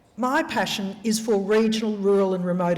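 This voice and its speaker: A woman is speaking with an Australian accent. Her pitch is fairly high. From Australia, rural Queensland. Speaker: senator and special envoy for northern australia. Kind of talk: gala dinner speech. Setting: live event, speaking to an audience.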